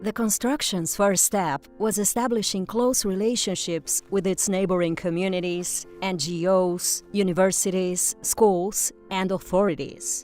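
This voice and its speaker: Over music in the background, a woman speaks at a fairly slow pace with hardly any pauses, using a medium pitch and ordinary pitch variation. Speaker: voice actor. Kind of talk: corporate narration.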